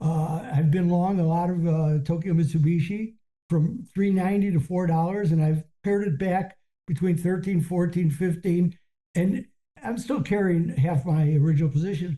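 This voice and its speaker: A man speaks at a moderate pace in a high, dark, mellow voice. His loudness stays very even, and his pitch varies in an ordinary way. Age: 70s. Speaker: professional trader. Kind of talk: casual chat. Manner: halting.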